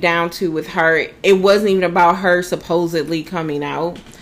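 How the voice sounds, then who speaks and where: A woman talks at a moderate pace and fairly low pitch in a monotone, flat intonation. Music plays in the background. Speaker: podcast co-host. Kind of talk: casual chat.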